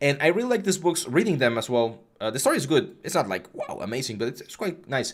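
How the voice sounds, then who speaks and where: A man with a slight Mexican accent on a very clean recording with a silent background. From Mexico. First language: Spanish. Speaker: 3D art instructor. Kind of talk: live stream tutorial with chat Q&A. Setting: live stream. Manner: casual, hesitant with fillers.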